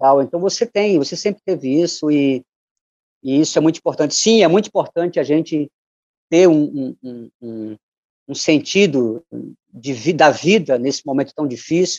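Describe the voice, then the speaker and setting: Long, frequent pauses break up a man's fairly high voice as he speaks at a moderate pace with lively intonation, the sound dry and close with no echo. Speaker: musician and poet. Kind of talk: interview.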